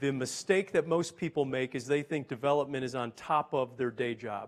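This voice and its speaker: A man with an American accent speaks in an ordinary speaking voice at a fairly high pitch. His pace is moderate, his pitch variation ordinary, and the recording very clean with a silent background. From US Northeast (Boston). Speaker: business executive. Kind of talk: panel talk.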